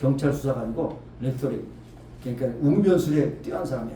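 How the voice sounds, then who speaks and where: There is audible room echo around this voice. A man speaks with fairly even intonation. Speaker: pastor. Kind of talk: sermon.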